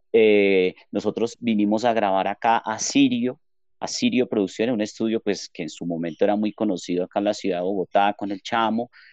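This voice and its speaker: This is an ordinary speaking voice at a fairly quick pace with ordinary pitch variation. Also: man. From Colombia, Armenia (coffee region). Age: 30s. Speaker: music venue owner and guitarist. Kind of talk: podcast interview.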